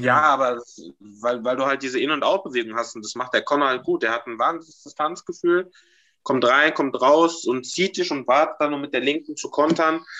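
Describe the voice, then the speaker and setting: In a normal speaking voice, a man with a fairly high pitch talks at a moderate pace with ordinary pitch variation. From Germany, Mainz. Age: 20s. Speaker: amateur fighter. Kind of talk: casual chat.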